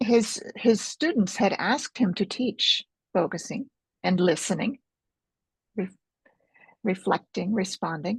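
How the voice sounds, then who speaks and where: Somewhat breathy and with an American accent, a woman at medium pitch speaks at a fairly slow pace with ordinary pitch variation and long, frequent pauses, the sound dry and close with no echo. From United States. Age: 70s. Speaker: author and focusing teacher. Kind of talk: interview.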